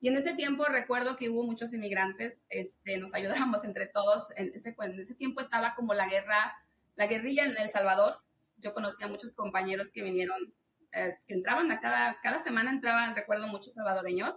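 Her intonation lively, a woman speaks fairly quickly. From Mexico City, Mexico. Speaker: business owner. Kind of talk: interview.

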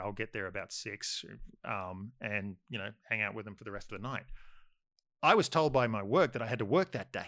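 Speaking at a fairly quick pace with an Australian accent, a man has a bright, sharp tone and fairly low pitch, captured in a very clean recording with a silent background. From Sydney western suburbs, Australia. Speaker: filmmaker. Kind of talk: casual chat.

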